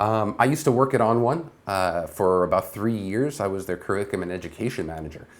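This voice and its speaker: Talking at a very fast pace, a man uses lively intonation at a fairly low pitch. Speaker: photography show host. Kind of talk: live show news talk. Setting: home studio, live stream. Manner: casual, many fillers.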